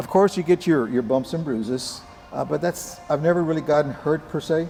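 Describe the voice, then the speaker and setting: Music plays in the background while a man speaks with ordinary pitch variation. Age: 70s. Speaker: Brazilian jiu-jitsu practitioner. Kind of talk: interview. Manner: halting, many fillers.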